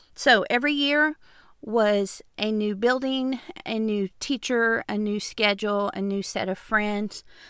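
This woman's voice sits fairly high and moves at a fairly slow pace with ordinary pitch variation. The recording is very clean, with a silent background. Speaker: podcast host. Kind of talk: monologue. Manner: hesitant fillers.

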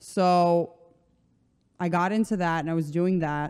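An American accent with fairly even intonation. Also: woman. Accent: American, sounds like New Jersey. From Slovenia. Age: 20s. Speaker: personal trainer. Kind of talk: casual chat.

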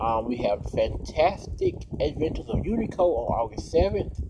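The speaker is a man. Background noise is noticeable. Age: 20s. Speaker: podcast host. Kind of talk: casual solo podcast with news reading. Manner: hesitant, frequent ums.

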